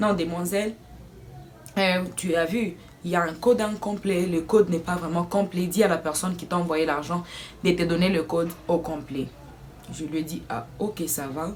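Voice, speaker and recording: Her pitch fairly low, a woman speaks at a moderate pace broken by long, frequent pauses. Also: ordinary pitch variation. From Democratic Republic of the Congo. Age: 20s. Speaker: student / vlogger. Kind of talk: casual story time to camera.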